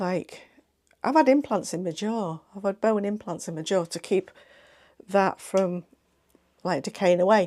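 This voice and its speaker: With an English Midlands accent and a dark, mellow tone, a woman speaks at a fairly slow pace with long, frequent pauses, on a very clean recording with a silent background. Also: medium pitch for a woman, ordinary pitch variation. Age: 50s. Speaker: sewing vlogger. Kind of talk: casual chat. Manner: chatty, hesitant with fillers.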